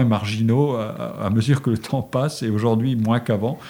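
A man's dark, mellow tone at medium pitch, with ordinary pitch variation and a moderate pace. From Lorraine, France (Forbach). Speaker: sociologist. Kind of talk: interview.

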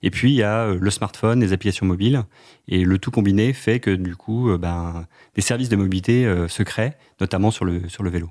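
A man talks at a moderate pace in a plain, everyday voice, his pitch fairly low with ordinary variation, on a very clean recording with a silent background. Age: 30s. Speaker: bike-sharing marketing manager. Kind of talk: radio interview.

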